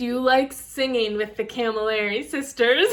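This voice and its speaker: With noticeable background noise behind her, a woman in a Rochester accent speaks at a moderate pace. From Rochester, New York. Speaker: YouTuber, singer. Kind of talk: casual chat.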